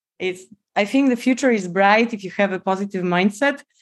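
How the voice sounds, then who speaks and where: Speaking in a Polish accent, a woman keeps a moderate pace with lively intonation. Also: quiet background. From Poland. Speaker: biomedical engineer. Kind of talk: podcast interview.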